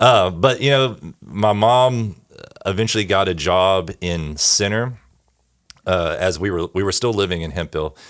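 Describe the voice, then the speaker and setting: Speaking at a fairly slow pace in an East Texas accent, a man with a very deep, low pitch shows ordinary pitch variation. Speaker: church bass player and band director. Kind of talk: casual chat.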